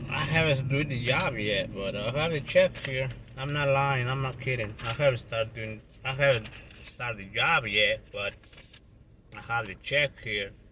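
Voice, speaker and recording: A man's medium-pitched voice with a non-native accent, ordinary pitch variation and a moderate pace, over noticeable background noise. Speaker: landscaping and roofing contractor. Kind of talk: casual vlog. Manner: halting, repeats words.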